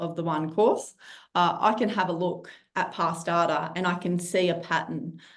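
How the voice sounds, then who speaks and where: A woman with a fairly low pitch speaks at a moderate pace amid audible room echo. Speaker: criminology lecturer. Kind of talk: webinar presentation.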